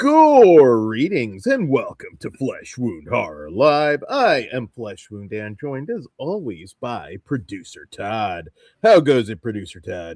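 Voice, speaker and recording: Putting on a character voice, a man speaks at a fairly slow pace and a medium pitch. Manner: theatrical, announcer-like.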